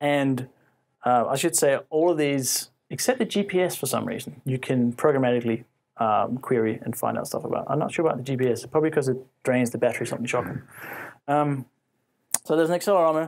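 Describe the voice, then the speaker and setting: The recording is very clean and the background is silent. In it, a man talks at a very fast pace. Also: fairly high pitch for a man, ordinary pitch variation. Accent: Australian. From Faroe Islands. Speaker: tech conference speaker. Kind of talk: technical talk to an audience. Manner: loud; casual with many fillers.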